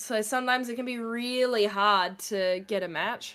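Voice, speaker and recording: A woman's fairly high voice with an Australian accent and ordinary pitch variation. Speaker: gaming streamer. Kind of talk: casual chat. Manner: animated.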